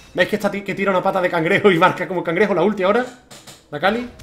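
A man talks at a very fast pace in a high pitch. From Spain. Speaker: gaming YouTuber. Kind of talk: gameplay commentary. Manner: animated. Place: home room. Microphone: headset.

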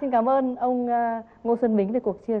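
A woman talks at a very fast pace. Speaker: TV talk show host. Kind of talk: TV interview. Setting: TV studio with audience. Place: studio. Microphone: lapel.

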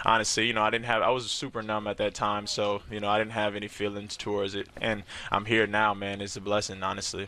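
A man speaks at a very fast pace with hardly any pauses and monotone, flat intonation. The sound is dry, with no echo. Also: fairly low pitch for a man. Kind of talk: interview answer. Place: hall. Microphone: headset.

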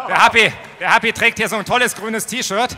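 A man's raised, projected voice. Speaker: party staff presenter. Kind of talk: stage presentation. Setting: stage with audience. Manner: casual, improvising. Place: hall. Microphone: handheld.

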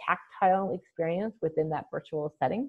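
Against a quiet background, a woman with an American accent and a normal speaking voice talks at a fairly quick pace in a fairly low pitch. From Chicago. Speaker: email marketing strategist and virtual event producer; webinar presenter. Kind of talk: webinar training presentation. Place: home room. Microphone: video call.

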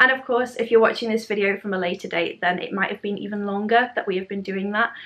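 Speaking with a British accent, a woman keeps a medium pitch and fairly even intonation. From UK. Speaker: primary school teacher, education vlogger. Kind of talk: tutorial. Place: home room.

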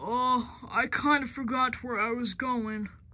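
Someone uses a put-on character voice at a fairly high pitch, delivered at a fairly slow pace.

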